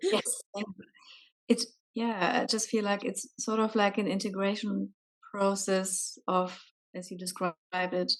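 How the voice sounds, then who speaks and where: With a non-native accent, a woman at a medium pitch speaks at a fairly slow pace with fairly even intonation and long, frequent pauses. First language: not English. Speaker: coaching client. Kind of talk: coaching session. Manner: halting, searching for words.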